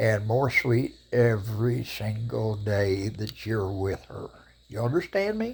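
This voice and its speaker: With an American accent, a man talks at a very slow pace and a medium pitch. His voice is somewhat breathy, with fairly even intonation. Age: 80s+. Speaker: vlogger. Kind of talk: casual monologue to camera. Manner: opinionated, emphatic.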